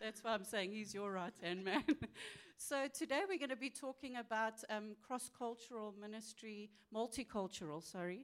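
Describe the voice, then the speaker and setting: An ordinary speaking voice keeps a moderate speed, its pitch varying in an ordinary way. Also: woman, fairly high pitch for a woman. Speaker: event host and church leader. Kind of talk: moderated panel discussion. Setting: church conference with audience.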